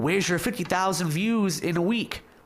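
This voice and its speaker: A high-pitched man with an American accent, ordinary pitch variation, and audible room echo. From Michigan. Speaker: interviewer. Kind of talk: casual interview.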